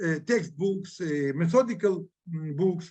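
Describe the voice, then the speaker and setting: A man speaks with a Ukrainian accent. His pitch variation is ordinary. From Ukraine. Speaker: historian. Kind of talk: lecture. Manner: halting.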